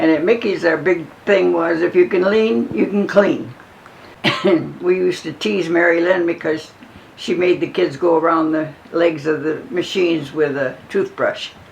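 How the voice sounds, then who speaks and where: Noticeable background noise runs behind a woman speaking at a moderate pace. Her voice is fairly low in pitch, with ordinary pitch variation. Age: 80s+. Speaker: grandmother, former ice cream store owner. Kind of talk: interview reminiscence.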